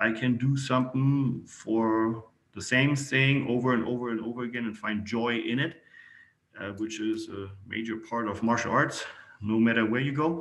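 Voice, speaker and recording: Moderate pace, fairly even intonation and a German accent, with audible room echo. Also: man, medium pitch for a man. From Germany. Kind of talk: interview.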